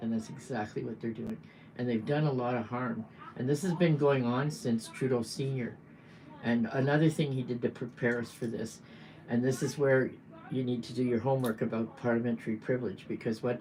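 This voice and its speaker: With a Canadian accent, a woman talks at a fairly quick pace in a very deep, low pitch. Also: ordinary pitch variation. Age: 70s. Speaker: political activist. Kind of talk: livestream monologue. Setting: livestream.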